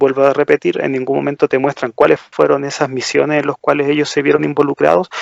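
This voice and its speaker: The speaker is a man. His sound is dry and close, with no echo. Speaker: podcast co-host. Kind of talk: casual chat.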